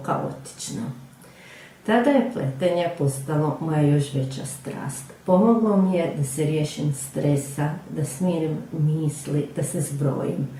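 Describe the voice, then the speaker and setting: With music playing in the background, a woman talks in a very deep, low pitch with ordinary pitch variation. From Croatia, Rijeka. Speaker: knitting teacher. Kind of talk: personal testimony. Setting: pre-recorded video.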